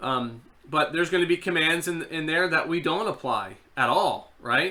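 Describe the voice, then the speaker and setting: Over noticeable background noise, a man speaks at a moderate pace in a high pitch with ordinary pitch variation. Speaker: seminary lecturer. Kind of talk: online class lecture. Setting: online live video class. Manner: conversational, filler words.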